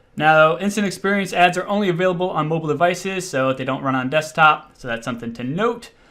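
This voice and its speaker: Talking at a very fast pace with hardly any pauses, a man has a fairly high pitch, a bright, sharp tone and ordinary pitch variation. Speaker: online marketing instructor. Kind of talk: tutorial. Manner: casual.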